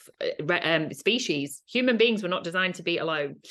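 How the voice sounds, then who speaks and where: At a moderate pace, a woman talks in an ordinary speaking voice with a fairly low pitch against a quiet background. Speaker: podcast host in recruitment. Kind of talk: interview.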